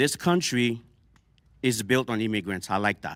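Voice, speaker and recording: A man with a Haitian accent speaks at a moderate pace and medium pitch, using ordinary pitch variation. The recording is very clean with a silent background and a dry, close sound with no echo. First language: Haitian Creole. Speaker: panel guest. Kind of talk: heated debate. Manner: animated.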